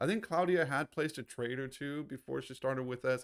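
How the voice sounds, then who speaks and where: The recording is very clean with a silent background, capturing a man at a medium pitch. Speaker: trading educator. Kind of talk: livestream trading commentary. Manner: hesitant, many fillers.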